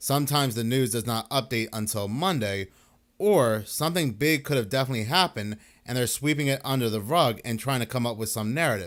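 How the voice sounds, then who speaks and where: On a very clean recording with a silent background, a man speaks at a fairly quick pace. His pitch is medium, with ordinary variation. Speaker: online video commentator. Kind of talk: video commentary monologue. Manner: fast; stumbling over words.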